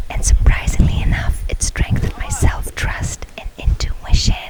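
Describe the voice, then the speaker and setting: A woman whispering at a moderate pace, with noticeable background noise. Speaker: ASMR creator. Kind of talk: ASMR personal story, confiding talk to camera. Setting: outdoors, near a restaurant with background crowd noise. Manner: warm, calm, reassuring.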